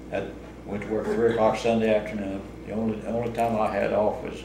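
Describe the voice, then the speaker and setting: In a rural Missouri accent, a man with a fairly low pitch speaks at a moderate pace in a monotone, flat intonation, with audible room echo and noticeable background noise. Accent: rural Missouri American. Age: 80s+. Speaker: retired laborer. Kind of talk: oral history interview. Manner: halting.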